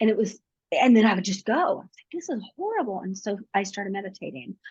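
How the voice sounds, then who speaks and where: A woman talks at a fairly quick pace, somewhat breathy. The background is quiet. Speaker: digital marketing agency owner. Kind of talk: interview. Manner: fast.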